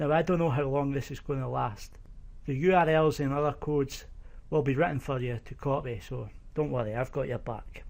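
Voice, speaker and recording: Fairly quick speech with a slight Scottish accent. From eastern Scotland. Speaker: online course instructor. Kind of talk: tutorial. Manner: casual.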